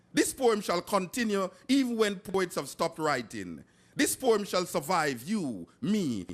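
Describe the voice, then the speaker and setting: A man with a Jamaican accent, high-pitched, with very wide pitch swings at a fairly slow pace, on a very clean recording with a silent background. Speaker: poet. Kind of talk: poetry reading.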